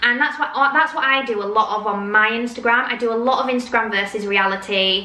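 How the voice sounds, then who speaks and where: With audible room echo and noticeable background noise, a woman speaks at a moderate pace in a fairly high voice with fairly even intonation. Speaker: influencer and confidence coach. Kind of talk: casual advice vlog.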